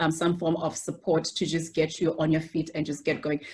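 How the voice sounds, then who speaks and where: Over a silent background on a very clean recording, a woman with a fairly low pitch speaks at a fairly quick pace. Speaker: medical doctor. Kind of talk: interview.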